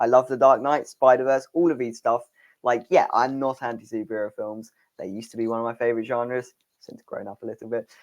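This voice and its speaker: Speaking at a very fast pace, a man with a medium pitch keeps a fairly even intonation while his loudness swings widely, in dry, close sound with no echo. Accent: British. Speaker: film podcast co-host. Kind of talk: casual chat.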